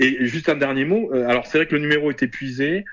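Lively intonation runs through the man's speech. He talks very fast. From southwest France, Toulouse area. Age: 50s. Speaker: publisher. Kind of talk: interview conversation. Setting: remote call.

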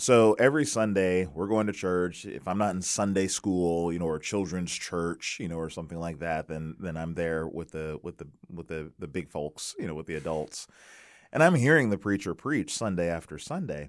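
In a very clean recording with a silent background, a man with a very deep, low pitch talks at a moderate pace, his loudness swinging widely and his pitch varying in an ordinary way. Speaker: pastor and podcast co-host. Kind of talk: casual chat. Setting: studio. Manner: halting, many fillers and repetitions.

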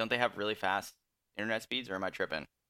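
Bright and sharp, a man's voice with an American accent sits at a fairly low pitch. The very clean recording has a silent background and a dry, close sound with no echo. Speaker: podcast host. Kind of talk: casual chat.

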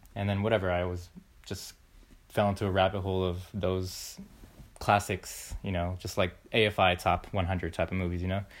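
Speaking at a fairly quick pace in monotone, flat intonation, a man with an American accent has a very deep, low pitch. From US, small-town Florida. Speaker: film editor. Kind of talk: casual chat. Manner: halting.

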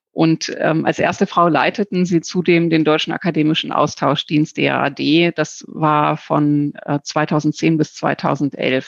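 A woman at a very deep, low pitch and a very slow pace, with very even loudness, fairly even intonation and hardly any pauses, dry and close with no echo. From Lower Saxony. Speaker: podcast host, association director. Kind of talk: interview. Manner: hesitant with fillers.

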